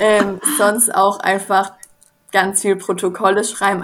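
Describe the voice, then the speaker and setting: A woman is speaking. Her pace is moderate. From southern Baden, near Swiss border. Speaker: social work student. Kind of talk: interview.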